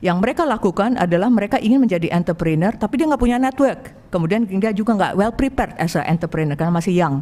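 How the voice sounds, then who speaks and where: A woman with a non-native accent talks at a very fast pace with lively intonation and very even loudness. Noticeable background noise is present. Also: medium pitch for a woman. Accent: non-native Indonesian. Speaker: angel investor. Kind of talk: presentation to an audience. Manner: halting, many fillers.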